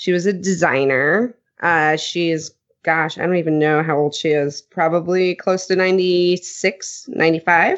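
An ordinary speaking voice. It moves at a fairly slow pace. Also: woman. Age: 30s. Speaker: podcast host. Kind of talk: casual chat.

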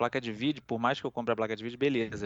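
A man with a normal speaking voice talks at medium pitch with fairly even intonation. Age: 30s. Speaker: gaming podcast co-host. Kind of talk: casual chat.

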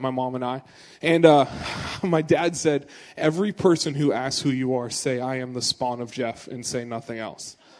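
A man with an American accent speaks in an ordinary speaking voice, at a moderate pace and with ordinary pitch variation. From US Pacific Northwest, Portland area. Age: 20s. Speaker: youth pastor. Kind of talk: sermon. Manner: casual and conversational.

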